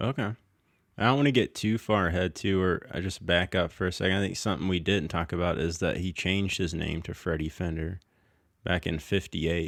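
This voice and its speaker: Speaking fairly quickly, a man uses a very deep, low pitch with ordinary pitch variation. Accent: Southern. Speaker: podcast host. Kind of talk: casual chat.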